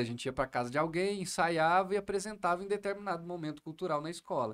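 Against a quiet background, a man talks at a fairly quick pace in a high pitch. His tone is animated, with ordinary pitch variation. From Minas Gerais, Brazil (Triângulo Mineiro); Minas Gerais, Brazil. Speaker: comedian. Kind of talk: podcast interview. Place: studio. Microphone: studio mic.

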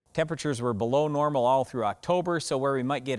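A man at a very fast pace, ordinary pitch variation, quiet background. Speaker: farm show host. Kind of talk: explanatory commentary to camera. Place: open country.

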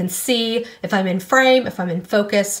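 A woman's voice, moderate in pace. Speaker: beauty video creator. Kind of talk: casual vlog chat. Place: home room. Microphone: phone near.

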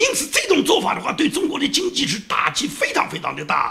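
Speech rushes by at a very fast pace. Its pitch swings over a very wide range. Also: man. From China. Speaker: political commentator. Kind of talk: solo commentary monologue. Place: home room.

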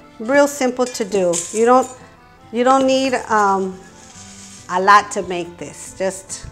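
Very slow speech over clear music in the background. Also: woman. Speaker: home cook host. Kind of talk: cooking tutorial. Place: kitchen. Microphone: lapel.

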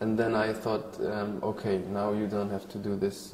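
A man with a Polish accent, fairly low pitch and monotone, flat intonation, at a fairly slow pace, with light background noise and audible room echo. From Poland. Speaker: actor. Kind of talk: interview answer. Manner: hesitant, thoughtful. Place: hall. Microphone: lapel.

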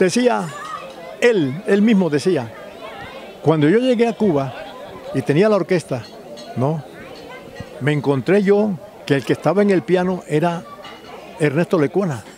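Over crowd noise in the background, a man with a high pitch and lively intonation talks at a fairly slow pace with long, frequent pauses, the sound dry with no echo. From Colombia. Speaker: writer and music historian; interviewee. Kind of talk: interview. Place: street. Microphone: handheld.

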